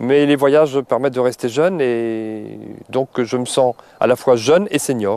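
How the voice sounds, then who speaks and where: A man's dark, mellow tone comes through with a dry, close sound with no echo. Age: 60s. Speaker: retired traveller. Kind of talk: interview.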